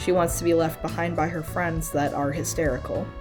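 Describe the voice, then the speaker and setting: Fairly quick female speech, music playing underneath. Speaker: video essayist. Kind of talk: game analysis video essay narration.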